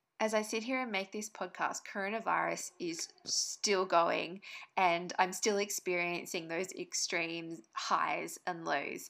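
A woman speaks in an Australian accent at a very slow pace. She hardly pauses at all. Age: 30s. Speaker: podcast co-host and online business owner. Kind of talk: podcast monologue, personal story.

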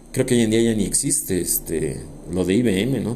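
A man speaks at a fairly low pitch with a dark, mellow tone. Audible room echo surrounds his voice. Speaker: podcast host, semi-retired architect. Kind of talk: casual monologue. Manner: hesitant, repeats words.

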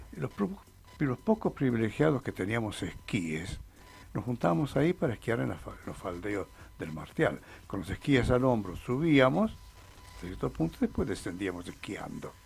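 A man's fairly low voice at a moderate pace, with very wide pitch swings, big swings in loudness and music in the background. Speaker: mountaineer. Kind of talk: interview. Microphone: too far from mic.

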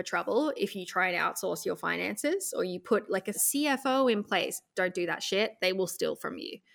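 Delivered at a moderate pace in an Australian accent, the speech comes through on a very clean recording with a silent background. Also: woman. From central Australia. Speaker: e-commerce business consultant. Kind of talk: podcast interview.

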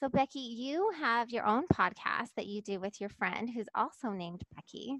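A woman uses an ordinary speaking voice, fairly high in pitch, with lively intonation. She keeps a moderate pace with hardly any pauses, in a dry, close sound with no echo. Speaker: podcast host. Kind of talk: interview conversation. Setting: internet call. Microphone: new mic too close, popping P's and T's.

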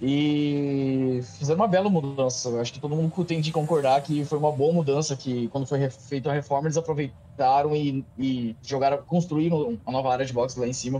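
In a plain, everyday voice, a man speaks fairly quickly at a fairly high pitch, with fairly even intonation and hardly any pauses. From Brazil, Paraná (Cascavel). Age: 30s. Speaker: videomaker and sim racer. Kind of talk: casual interview chat.

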